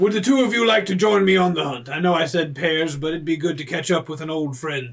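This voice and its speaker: Using a put-on character voice, a man speaks fairly quickly at a fairly high pitch. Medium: actual play. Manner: gruff, hearty.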